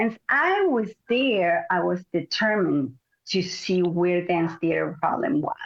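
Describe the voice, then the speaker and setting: With a Spanish accent, a woman speaks at a fairly slow pace and a very even loudness. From Mexico. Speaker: Pilates teacher and former ballet dancer. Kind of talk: interview.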